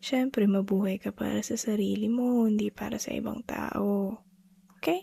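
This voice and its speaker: Soft-spoken, at a moderate pace. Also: woman. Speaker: ASMR performer. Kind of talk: ASMR comfort roleplay.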